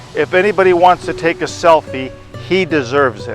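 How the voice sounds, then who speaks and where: Over music in the background, a man with a fairly high pitch speaks with lively intonation. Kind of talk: devotional talk.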